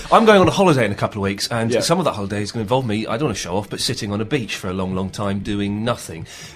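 Over noticeable background noise, a man with a fairly low voice talks at a very fast pace with ordinary pitch variation. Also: hardly any pauses. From England. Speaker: podcast host. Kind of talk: casual chat about video games. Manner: chatty, jokey.

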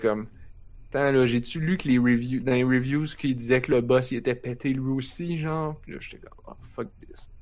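At a moderate pace and medium pitch, a man speaks with a Quebec accent and fairly even intonation. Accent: Québécois French. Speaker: podcast host. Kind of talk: casual chat. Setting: live stream with chat.

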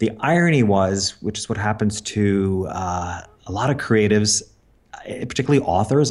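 A man with an unremarkable speaking voice talks at a fairly quick pace in a fairly low pitch. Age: 50s. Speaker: business coach and former portrait photographer. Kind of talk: interview.

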